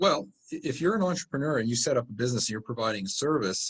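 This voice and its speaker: A man at a medium pitch swings very widely up and down in pitch. His voice is somewhat breathy. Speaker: real estate investing company founder. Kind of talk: interview answer, conversational.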